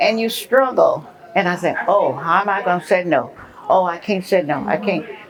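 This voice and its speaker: A woman speaks at a medium pitch and a moderate pace with ordinary pitch variation, over noticeable background noise. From Tennessee. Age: 80s+. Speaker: retired sorority elder. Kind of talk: interview.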